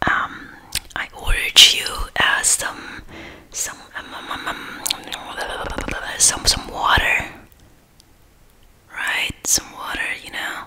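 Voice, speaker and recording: Whispering very slowly, a woman leaves long, frequent pauses between her words. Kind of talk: role-play chat to viewer. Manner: soft hesitant close-mic speaking. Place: home room. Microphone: studio mic.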